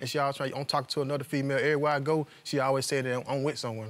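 A man speaks very fast in a fairly high voice with fairly even intonation. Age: young. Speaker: litigant in a TV court case. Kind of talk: courtroom testimony. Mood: aggrieved, defensive. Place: studio. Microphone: lapel.

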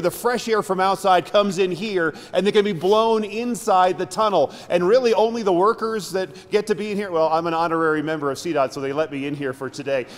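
This man has a high-pitched voice. He talks at a fairly quick pace. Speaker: TV news reporter. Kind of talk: live news stand-up. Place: tunnel cave.

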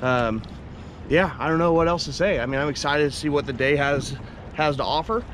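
Talking at a fairly quick pace with ordinary pitch variation, a man is heard in a dry sound with no echo and noticeable background noise. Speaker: fishing vlogger. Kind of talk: casual vlog chat. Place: boat. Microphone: camera far.

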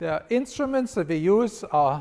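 The man's intonation is lively. He speaks at a fairly slow pace. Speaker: professor. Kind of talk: conference talk. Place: stage.

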